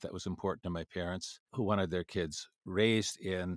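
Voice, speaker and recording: A man with an Upper Midwest accent speaks in a very deep, low, flat monotone at a moderate pace, in a very clean recording with a silent background and dry, close sound with no echo. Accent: Upper Midwest American. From Minnesota, US Midwest (Minneapolis suburb). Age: 70s. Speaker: international education expert. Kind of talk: interview storytelling. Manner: halting, many fillers.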